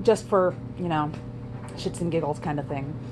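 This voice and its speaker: With lively intonation, a woman speaks through noticeable background noise and audible room echo. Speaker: vlogger. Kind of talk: casual vlog monologue. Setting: in a garage. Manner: fast.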